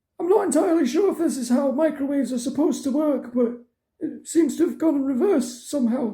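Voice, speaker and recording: Delivered at a very fast pace, this high-pitched, cartoonish character voice races along. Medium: puppet show. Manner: hesitant, stammering.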